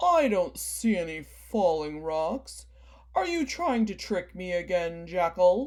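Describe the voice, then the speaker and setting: A woman's put-on character voice at a medium pitch, at a fairly slow pace. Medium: read story.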